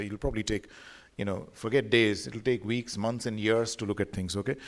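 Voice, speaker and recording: At a very fast pace, a man delivers his words. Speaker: visiting radiology lecturer. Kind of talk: lecture. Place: hall. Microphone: podium.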